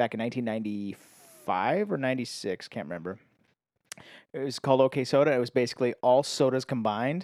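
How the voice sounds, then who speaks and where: A very clean recording with a silent background of a man talking very fast at a medium pitch with ordinary pitch variation. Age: 30s. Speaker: podcast guest. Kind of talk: casual chat.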